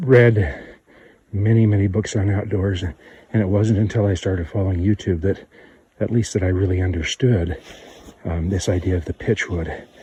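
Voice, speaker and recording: Fairly low male voice at a moderate pace, with long, frequent pauses, fairly even intonation, and noticeable background noise. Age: 50s. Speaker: bushcraft vlogger. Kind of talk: outdoor tutorial. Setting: outdoors on a trail. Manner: halting, with fillers.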